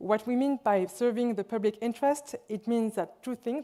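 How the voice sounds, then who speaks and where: A woman with a French accent speaks in a dark, mellow tone with ordinary pitch variation. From France, Lyon. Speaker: hospital administrator. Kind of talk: conference presentation.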